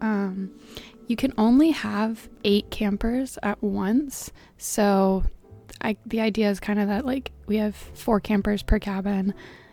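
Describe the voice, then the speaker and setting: Over music in the background, a soft-spoken woman talks at a medium pitch and a fairly slow pace. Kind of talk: casual talk over gameplay.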